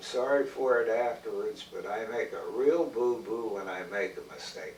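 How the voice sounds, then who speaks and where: Noticeable background noise is present. The speaking pace is fairly slow. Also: man. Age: 80s+. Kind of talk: interview answer.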